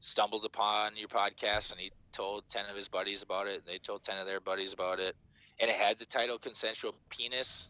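Recorded with a dry, close sound and no echo, a man with a Minnesotan accent speaks at a moderate pace. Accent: Minnesota. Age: 30s. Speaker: podcaster. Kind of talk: casual chat. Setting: video call.

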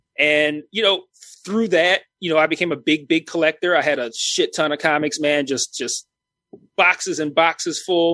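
Bright and sharp in tone, a man's fairly high voice moves at a moderate pace with fairly even intonation and a dry, close sound with no echo. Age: 30s. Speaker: YouTube film and TV reviewer. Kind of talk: casual chat. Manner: halting.

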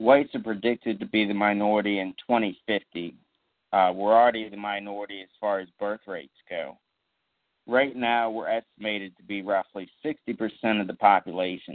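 A man talks in a normal speaking voice, moderately paced, with fairly low pitch and fairly even intonation. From southern Maryland (Charles County). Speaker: podcast host. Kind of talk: solo political podcast monologue.

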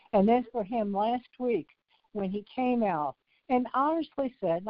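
At a moderate pace, a woman with a plain, everyday voice speaks with lively intonation. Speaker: caller. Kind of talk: casual call-in chat.

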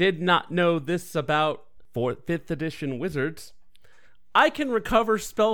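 A man talks at a fairly slow pace in an unremarkable speaking voice, pitched fairly high. His intonation is lively, and the recording is very clean with a silent background. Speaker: player. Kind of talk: tabletop roleplaying game session, casual.

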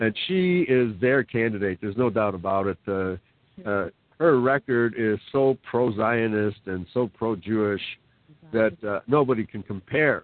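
Here is a man with a plain, everyday voice at a medium pitch and with ordinary pitch variation. He talks at a fairly slow pace. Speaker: guest on talk show. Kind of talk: casual talk show conversation. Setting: online call.

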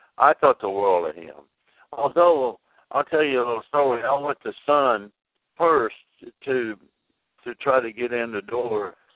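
In an American accent, a man with a medium pitch talks with lively intonation. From Jackson, Tennessee. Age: 70s. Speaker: rockabilly singer. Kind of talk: interview. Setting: phone call. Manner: halting.

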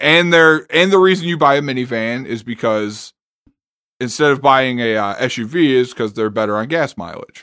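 Speaking with an American accent, a man of medium pitch uses a bright, sharp tone and lively intonation at a moderate pace. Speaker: podcast co-host. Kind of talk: casual chat.

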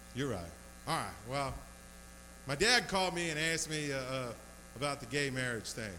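A man's fairly high voice at a fairly quick pace, with lively intonation, long, frequent pauses and audible room echo. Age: 40s. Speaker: stand-up comedian. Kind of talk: stand-up. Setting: bar stage with small audience. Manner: halting, repeats words.

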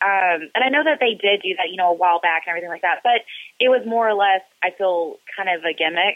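A plain, everyday voice goes at a fairly quick pace, its pitch varying in an ordinary way. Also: woman. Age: 20s. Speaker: professional wrestler. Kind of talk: interview.

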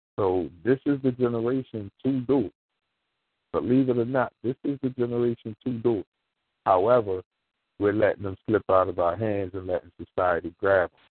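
Using an unremarkable speaking voice with an American accent, a man talks at medium pitch and a moderate pace, with ordinary pitch variation and big swings in loudness. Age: 40s. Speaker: former school teacher and youth mentor. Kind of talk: call-in radio discussion.

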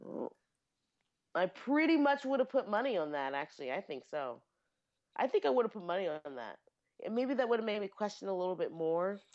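Against a quiet background, a woman with a medium pitch talks at a fairly quick pace, her voice swinging very widely in pitch and broken by long, frequent pauses. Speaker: podcast co-host; sheet metal worker. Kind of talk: casual chat. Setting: home recording with poor audio.

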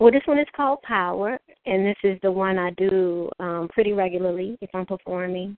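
A woman speaks with a New Orleans accent. Her pitch variation is ordinary. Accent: New Orleans Southern US. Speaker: author and spoken word poet. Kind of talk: interview.

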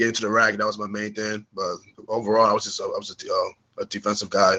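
A man talks at a fairly quick clip in a medium pitch, his tone bright and sharp and his intonation fairly even. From born in UK, raised in US from age four, Ghanaian family. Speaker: football prospect. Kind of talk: interview.

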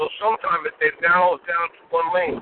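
A man is speaking. His pace is fairly quick. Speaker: caller. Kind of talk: casual chat. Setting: in a car. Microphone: bad connection.

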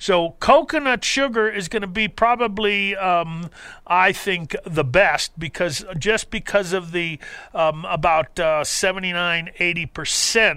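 A man with an American accent speaks at a very slow pace in a high pitch with a bright, sharp tone. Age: 60s. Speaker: radio host, naturopath. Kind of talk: live call-in radio show. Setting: studio.

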